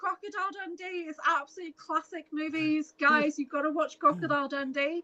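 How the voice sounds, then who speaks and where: A woman speaks at a fairly quick pace with hardly any pauses, her high pitch carrying a bright, sharp tone. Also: dry, close sound with no echo. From Merseyside, England (near Liverpool). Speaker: spiritual healer and podcast guest. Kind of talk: casual chat. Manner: animated.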